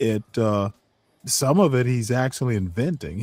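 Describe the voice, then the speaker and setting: A man with a plain, everyday voice and an American accent, medium pitch and lively intonation at a moderate pace, in dry, close sound with no echo. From US South (Georgia). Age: 60s. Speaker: livestream co-host, father. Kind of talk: casual chat. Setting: livestream.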